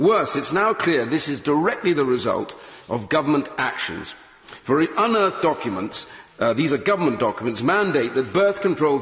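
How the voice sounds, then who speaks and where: Room echo is audible as a man talks with very wide pitch swings. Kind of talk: parliamentary speech. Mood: grave, emphatic. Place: hall.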